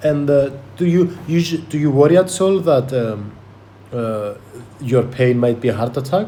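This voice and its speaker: Pausing long and often, a man with a non-native accent and a fairly high pitch speaks slowly with lively intonation amid noticeable background noise. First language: not English. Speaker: podcast host. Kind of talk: medical history-taking role play. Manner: halting, many fillers and repetitions.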